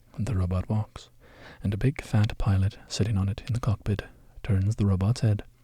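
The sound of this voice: With fairly even intonation, the delivery is an unforced reading voice.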